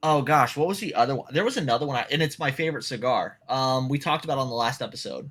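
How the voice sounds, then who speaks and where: A man with a Southern US accent at a fairly high pitch, talking at a very fast pace with hardly any pauses and ordinary pitch variation, in a very clean recording with a silent background. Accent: Southern twang. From US South. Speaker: podcast co-host. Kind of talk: casual chat.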